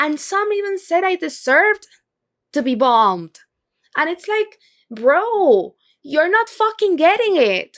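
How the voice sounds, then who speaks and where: A woman's extremely high-pitched voice, animated in tone, at a fairly slow pace. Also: dry, close sound with no echo. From Venezuela. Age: 20s. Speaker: vlogger. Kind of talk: casual vlog monologue.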